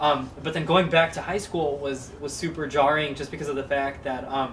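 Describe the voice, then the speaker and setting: Fairly high pitch from a man in an American accent, monotone and flat at a moderate pace, with noticeable background noise and audible room echo. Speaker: Islamic scholar, hafiz. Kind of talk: interview conversation. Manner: halting with many fillers.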